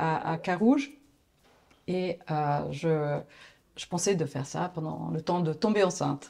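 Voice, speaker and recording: A fairly low-pitched woman at a very slow pace, with long, frequent pauses. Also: ordinary pitch variation. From Italy, Florence. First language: Italian (speaking French). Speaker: agency founder, graphic designer. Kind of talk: interview. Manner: hesitant.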